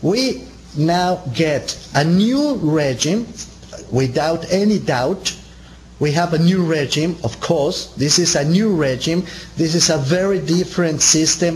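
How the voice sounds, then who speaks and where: With a Spanish accent and a fairly high pitch, a man speaks at a very slow pace with ordinary pitch variation and very even loudness, amid noticeable background noise and audible room echo. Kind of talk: seminar lecture. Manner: halting, frequent repetitions and fillers.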